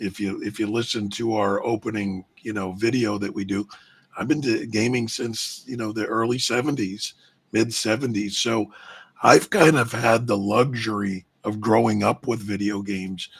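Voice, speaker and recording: This man has an unremarkable speaking voice with an American accent, fairly low in pitch, delivered at a moderate pace with fairly even intonation. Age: 50s. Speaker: gaming podcast co-host. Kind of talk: casual chat.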